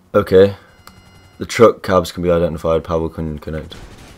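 A man with a British accent talks at a moderate pace. His pitch is very deep and low. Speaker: gaming YouTuber. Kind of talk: casual gameplay commentary. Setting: builders audible in background. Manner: casual, chatty.

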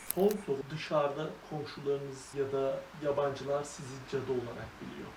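A woman with a very deep, low pitch talks at a moderate pace. Audible room echo and noticeable background noise are in the recording. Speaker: travel vlogger interviewing witches. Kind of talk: interview.

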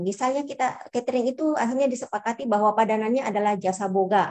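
A woman is speaking. Her pace is very fast. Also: quiet background. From Indonesia. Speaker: head of a regional language office. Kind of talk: lecture.

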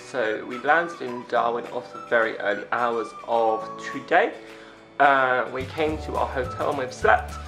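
A man at a fairly slow pace, with big swings in loudness and clear music in the background. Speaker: travel vlogger. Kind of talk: casual vlog chat. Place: home room. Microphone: phone near.

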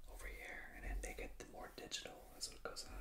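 A man whispers. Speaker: ASMR creator. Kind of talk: ASMR book flip-through. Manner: whispered.

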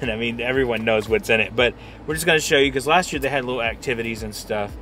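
Music plays in the background as a man speaks with ordinary pitch variation, the sound dry with no echo. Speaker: vlogger. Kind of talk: casual vlog chat. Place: car. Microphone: phone near.

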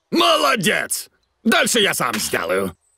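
A man does a cartoonish character voice, high-pitched with a bright, sharp tone, a slightly husky edge and vocal fry. He talks at a slow pace with very wide pitch swings.

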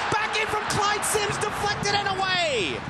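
The voice carries an animated, excited tone. Noticeable background noise sits behind it. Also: man. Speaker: play-by-play commentator. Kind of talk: live sports commentary, broadcast highlights. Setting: TV broadcast. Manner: fast, animated, excited play-by-play delivery.

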